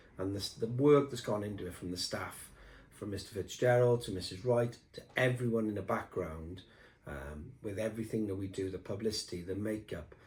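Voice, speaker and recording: Somewhat breathy, a man with a fairly low pitch speaks at a moderate pace with ordinary pitch variation. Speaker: school headteacher. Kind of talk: video newsletter address.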